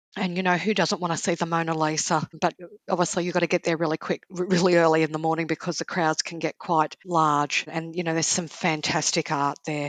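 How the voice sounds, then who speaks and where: In a dry, close sound with no echo and a quiet background, a woman talks at a fairly low pitch in a monotone, flat intonation. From Australia. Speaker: travel author. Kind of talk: casual chat.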